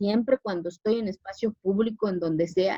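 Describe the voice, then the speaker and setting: A woman with a Mexican accent at a moderate pace, with ordinary pitch variation. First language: Zapotec (speaking Spanish). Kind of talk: interview.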